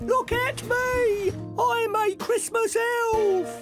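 A put-on character voice speaks at an extremely high pitch and a very slow pace. Music plays clearly in the background. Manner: playful, mimicking.

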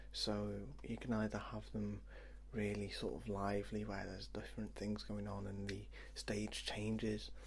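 The voice is soft-spoken and fairly slow. Light background noise can be heard. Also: man. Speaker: video game vlogger. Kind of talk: casual vlog chat. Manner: soft-spoken, quiet ASMR voice. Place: home room. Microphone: webcam.

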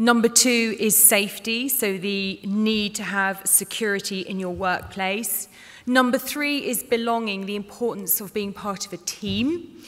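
A woman speaks at a fairly slow pace. Her pitch shows ordinary variation. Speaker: speaker. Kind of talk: conference presentation. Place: hall. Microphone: podium.

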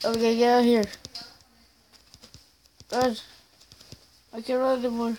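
Over noticeable background noise, a woman with a fairly high voice speaks in a monotone, flat way at a moderate pace with long, frequent pauses. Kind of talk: casual video game commentary.

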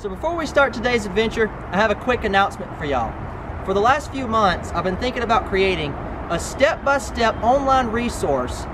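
Noticeable background noise sits behind a man who speaks at a fairly quick pace. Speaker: metal detecting video creator. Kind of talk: casual vlog chat. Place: garden. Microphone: camera far.

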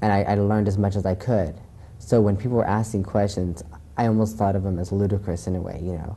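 A man with a fairly low pitch and a dark, mellow tone talks at a very fast pace in a flat monotone. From US, moved around. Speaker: TV talk show guest. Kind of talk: interview. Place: studio. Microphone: lapel.

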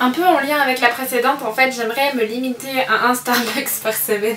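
A woman talks at a fairly quick pace in a high pitch with a fairly bright tone. Her intonation is fairly even, and there is faint background noise.

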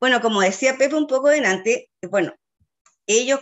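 This woman has a Chilean accent and a lively intonation. She talks at a moderate pace. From Chile, Chiloé (Ancud). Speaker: school teacher. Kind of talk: online seminar presentation.

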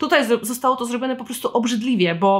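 A woman's animated tone with ordinary pitch variation. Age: 20s. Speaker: podcast host and writer. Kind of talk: solo book review podcast.

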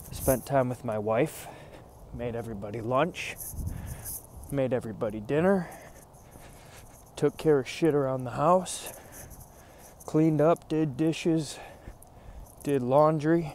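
A man talks at a fairly slow pace, with long, frequent pauses and ordinary pitch variation. The sound is dry with no echo, over light background noise. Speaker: fitness vlogger. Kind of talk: casual vlog chat. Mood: determined, motivational. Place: street. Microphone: earbuds.

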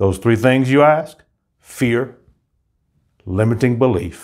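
Against a quiet background, a man speaks at a very slow pace with lively intonation. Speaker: motivational coach. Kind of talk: motivational pep talk and promo. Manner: energetic, upbeat, rallying; emphatic, declarative, inspirational. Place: studio. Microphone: lapel.

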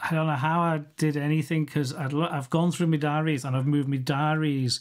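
With a Liverpool accent, a man speaks on a very clean recording with a silent background. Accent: Scouse (Liverpool). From Liverpool, England. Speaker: photographer. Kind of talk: interview conversation. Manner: halting, many restarts.

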